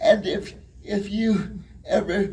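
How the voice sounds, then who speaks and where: Audible room echo surrounds a man as he speaks. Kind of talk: motivational talk. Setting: stage with audience. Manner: halting.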